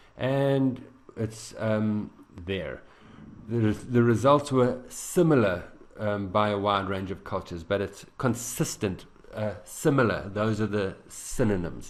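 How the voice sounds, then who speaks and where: This man has a fairly low pitch. His pitch variation is ordinary. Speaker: IELTS teacher. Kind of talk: tutorial. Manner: fast; halting.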